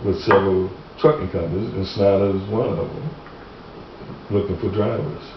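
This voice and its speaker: Over noticeable background noise and audible room echo, a man speaks at a fairly low pitch with fairly even intonation. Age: 70s. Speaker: truck driver giving statement on injury claim. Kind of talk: recorded deposition interview. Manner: halting, many repeated words.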